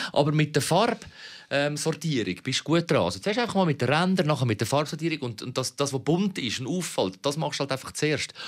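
In a Zurich accent, the speaker goes at a fairly quick pace with hardly any pauses and some vocal fry. The recording is very clean and the background silent. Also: man, fairly high pitch for a man, lively intonation. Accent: Zurich Swiss German. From Switzerland, Zurich city (Kreis 11). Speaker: podcast co-host. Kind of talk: casual chat.

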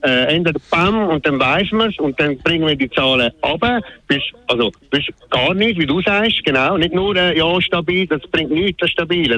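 Audible background noise sits under the speech. The speaker keeps a moderate pace with very even loudness and lively intonation. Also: man. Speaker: radio caller. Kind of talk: call-in talk radio. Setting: phone call. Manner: halting, many fillers.

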